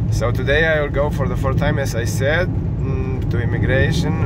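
A man is heard in a dry sound with no echo over loud background noise. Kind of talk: casual vlog chat. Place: car. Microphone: phone near.

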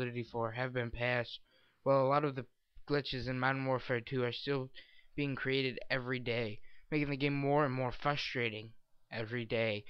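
A man in a plain, everyday voice speaks at a fairly quick pace, medium in pitch with fairly even intonation. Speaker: gaming video commentator. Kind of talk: scripted commentary read from a script.

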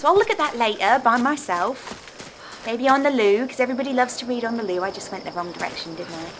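Over noticeable background noise, a woman with a British accent speaks with lively intonation. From England. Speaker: gaming channel host. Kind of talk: video game commentary. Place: home room.

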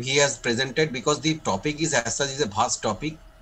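A man's fairly high voice at a fairly quick pace, with music in the background. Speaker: senior surgeon and teacher. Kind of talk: lecture. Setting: video call.

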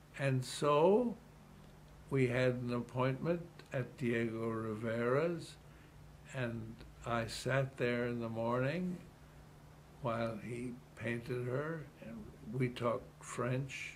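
Very slow speech with long, frequent pauses, ordinary pitch variation and audible room echo. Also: man, medium pitch for a man. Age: 80s+. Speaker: retired city politician. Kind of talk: interview.

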